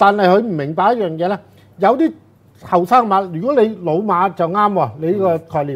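Ordinary pitch variation at a moderate pace. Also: man, high pitch for a man. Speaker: horse racing tipster. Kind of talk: casual chat.

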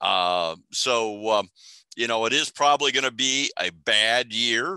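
Bright, sharp tone at a fairly slow pace, with ordinary pitch variation, a dry sound with no echo, and a quiet background. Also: man. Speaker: extension forestry specialist; webinar presenter. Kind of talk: educational webinar presentation. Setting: video call. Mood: amused, jovial. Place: office. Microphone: headset.

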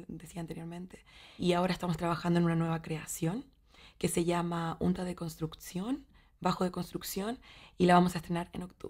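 A woman with a Chilean accent speaks at a fairly quick pace in a fairly low pitch. Her intonation is monotone and flat against a quiet background. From Chile, Valdivia. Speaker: actress and theatre teacher; actress, theatre teacher. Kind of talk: interview monologue. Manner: halting, with repetitions and fillers. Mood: warm, thoughtful. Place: studio.

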